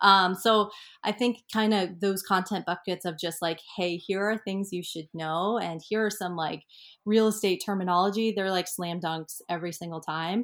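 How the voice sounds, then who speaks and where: Over a silent background in a very clean recording, a woman speaks in an ordinary speaking voice. Her pitch is medium, her intonation fairly even, and her pace moderate. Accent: American. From Colorado mountains. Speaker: real estate agent. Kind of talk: interview.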